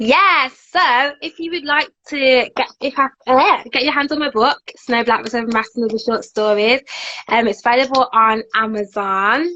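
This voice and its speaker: Her pitch is high, with ordinary variation. The woman speaks at a moderate pace. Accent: Birmingham. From Birmingham, England. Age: 20s. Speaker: author and TV presenter. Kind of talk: casual interview chat.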